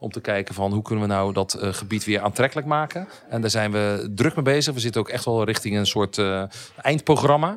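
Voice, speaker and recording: He speaks fairly quickly, his pitch varying in an ordinary way. The man has an ordinary speaking voice, fairly low in pitch. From Netherlands, Dordrecht. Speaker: property investor. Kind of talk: interview.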